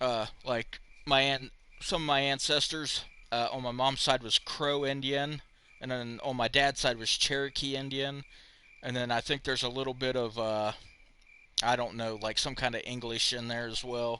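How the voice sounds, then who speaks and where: A man with a Southern US accent speaks in a monotone, flat intonation at medium pitch and a moderate pace. His tone is bright and sharp, over a quiet background. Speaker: game streamer. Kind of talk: live gameplay commentary. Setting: live stream. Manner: casual, chatty.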